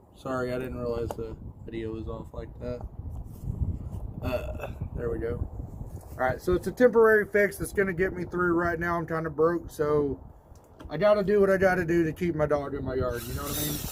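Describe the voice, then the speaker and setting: A fairly high-pitched man with an American accent, lively intonation and a fairly quick pace broken by long, frequent pauses, over noticeable background noise. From US South. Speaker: DIY video host. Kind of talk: casual vlog talk. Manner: casual, halting with repetitions.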